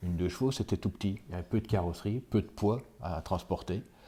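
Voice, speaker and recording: A dark, mellow, somewhat breathy male voice, fairly low in pitch. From France, Vosges (near Épinal). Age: 60s. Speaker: village mayor and teacher. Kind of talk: interview testimony. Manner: halting, many hesitations.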